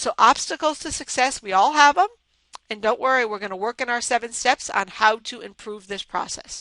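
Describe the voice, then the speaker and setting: A woman projects a raised, energetic, bright and sharp voice with lively intonation at a moderate pace, the sound dry and close with no echo. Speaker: business coach for consultants. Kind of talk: webinar recap presentation.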